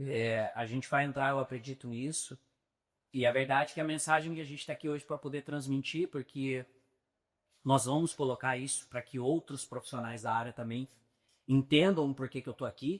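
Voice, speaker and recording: Moderately paced, a man talks with fairly even intonation. The recording is very clean and the background silent. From São Paulo, Brazil. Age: 30s. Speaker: real estate agent. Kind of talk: podcast interview.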